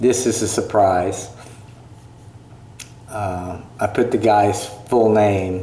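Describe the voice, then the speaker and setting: Fairly even intonation marks a man's fairly low voice. Noticeable background noise and audible room echo come through. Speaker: YouTuber vlogger. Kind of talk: casual vlog commentary on channel analytics. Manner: slow; hesitant, many fillers.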